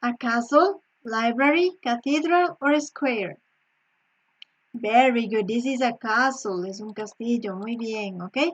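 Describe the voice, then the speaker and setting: The speaker has a Spanish accent and lively intonation at a fairly slow pace. The background is quiet. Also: woman, high pitch for a woman. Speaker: English teacher. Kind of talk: online lesson.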